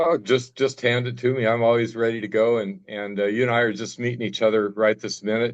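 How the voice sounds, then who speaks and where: A man with a Midwestern American accent talks at a fairly quick pace with hardly any pauses, medium pitch, and fairly even intonation. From US Midwest, Nebraska. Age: 70s. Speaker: cancer survivor guest speaker. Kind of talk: testimony.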